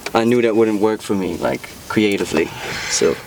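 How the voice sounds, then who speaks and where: A man's fairly low voice against noticeable background noise. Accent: Dutch. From Netherlands. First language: Dutch. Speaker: rapper. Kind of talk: casual interview chat.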